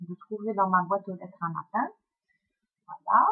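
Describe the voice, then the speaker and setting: A woman speaks in a medium pitch with ordinary pitch variation. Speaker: book blogger. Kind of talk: book review vlog. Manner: hesitant, many fillers.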